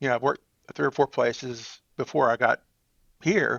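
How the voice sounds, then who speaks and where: This man has an East Texas accent and vocal fry. He talks at a fairly quick pace. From East Texas (Marshall). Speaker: church IT director. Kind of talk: podcast interview.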